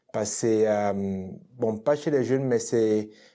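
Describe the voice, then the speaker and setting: With a dark, mellow tone and fairly even intonation, a man speaks at a medium pitch on a very clean recording with a silent background. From Cameroon. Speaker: dancer and dance teacher. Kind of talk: casual interview.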